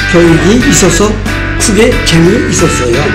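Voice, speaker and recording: A man talks at a very slow pace. Loud music plays in the background. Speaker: senior cartoonist student; vietnam war veteran. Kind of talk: interview answer. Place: classroom. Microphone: camera far.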